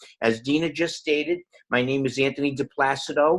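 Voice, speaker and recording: A man with a Boston accent talks at a fairly slow pace. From Boston, Massachusetts. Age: 60s. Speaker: network marketing distributor. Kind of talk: personal testimony.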